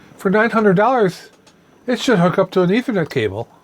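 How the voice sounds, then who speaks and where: A woman's medium-pitched voice at a fairly quick pace, with very wide pitch swings and vocal fry. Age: 60s. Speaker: DIY repair YouTuber. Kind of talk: casual tutorial-style review. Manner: halting with repetitions; animated, ranting.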